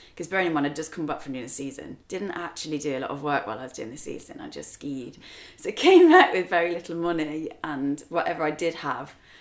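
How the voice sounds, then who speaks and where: Her pitch is very deep and low for a woman. She talks at a very fast pace with an English accent. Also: ordinary pitch variation. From England. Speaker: spirits brand co-founder. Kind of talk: casual interview chat.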